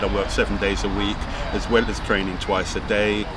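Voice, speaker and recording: Noticeable background noise runs under a man who talks fairly quickly. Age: 60s. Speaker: personal trainer. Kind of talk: interview.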